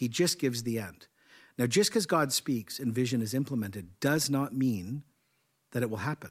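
On a very clean recording with a silent background, a man speaks with lively intonation. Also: medium pitch for a man. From Canada. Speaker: senior pastor and podcast host. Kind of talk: casual chat. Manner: fast.

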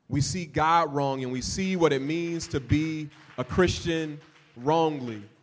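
A man's fairly high-pitched voice at a fairly slow pace, with ordinary pitch variation and audible room echo. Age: 40s. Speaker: pastor. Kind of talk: sermon. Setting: church.

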